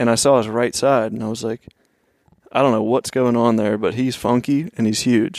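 Speaking at a moderate pace with a slight Pennsylvania accent, a man keeps his medium pitch in a fairly even intonation. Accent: slight regional Pennsylvania. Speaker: hunter, apparel business owner. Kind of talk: casual chat.

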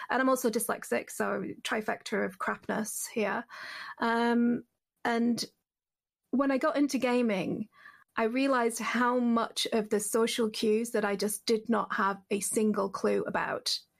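Very even loudness in a northern English accent. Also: woman, fairly high pitch for a woman, fairly even intonation, fairly slow pace. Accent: flattened northern English, slight Cumbrian. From Cumbria, northern England. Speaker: podcast guest. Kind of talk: casual group chat. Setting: video call.

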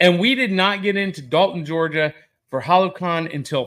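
A man with a high pitch and a bright, sharp tone speaks with ordinary pitch variation. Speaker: pop culture podcast host. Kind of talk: live casual chat. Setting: live at a convention, shared mic. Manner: loud.

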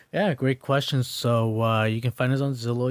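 A man with a plain, everyday voice talks at a moderate pace, his pitch medium and his intonation fairly even. The recording is very clean with a silent background, and the sound is dry and close with no echo. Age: 30s. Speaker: realtor. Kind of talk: casual chat.

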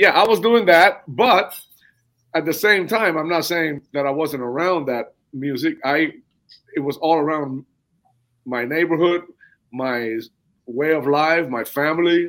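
In a Spanish accent, the speaker talks at a fairly slow pace with ordinary pitch variation and long, frequent pauses. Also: man, fairly high pitch for a man. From southern Cuba. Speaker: percussionist. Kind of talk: interview.

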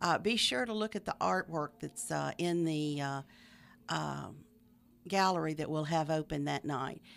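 A woman's very deep, low voice in a Southern US accent, with lively intonation, in a very clean recording with a silent background. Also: fairly slow pace. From Middle Tennessee. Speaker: arts organizer. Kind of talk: radio interview. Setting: studio.

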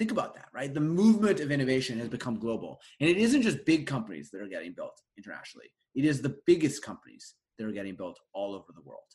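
Very fast and with a Canadian accent, a man speaks in a fairly high pitch with vocal fry, very wide pitch swings and big swings in loudness. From Canada, Winnipeg, Manitoba. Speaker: venture investor and author. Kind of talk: casual interview conversation.

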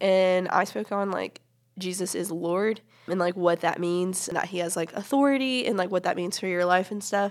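A woman with a plain, everyday voice speaks with an American accent at a moderate pace. Her medium pitch varies in an ordinary way. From US South, upstate South Carolina. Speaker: youth ministry teacher, student. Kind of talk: casual chat.

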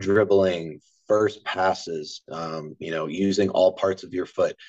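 With an American accent, the speaker talks at a fairly slow pace with fairly even intonation. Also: man. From Maryland, US (Harford County). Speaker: college soccer coach. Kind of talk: casual interview.

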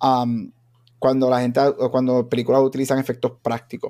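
A man talks at a moderate pace with a fairly high pitch and a dark, mellow tone. The sound is dry and close with no echo. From Aguadilla, Puerto Rico. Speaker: podcast host. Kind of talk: casual banter about a movie.

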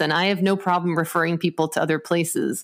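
A woman with an ordinary speaking voice, fairly low in pitch with ordinary pitch variation, on a very clean recording with a silent background. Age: 40s. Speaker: acupuncturist and spiritual healer. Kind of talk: interview.

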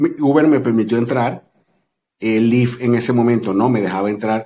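A man talks at a fairly slow pace in a dark, mellow tone of medium pitch with ordinary pitch variation. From Venezuela. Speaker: delivery driver and social media creator. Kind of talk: casual interview chat.

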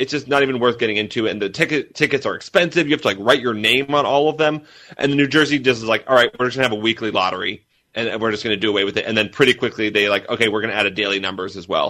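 Very fast and bright, sharp in tone, a man with an American accent speaks at a medium pitch with ordinary pitch variation on a very clean recording with a silent background. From Massachusetts. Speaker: author. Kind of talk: interview. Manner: halting, repeats words and fillers.

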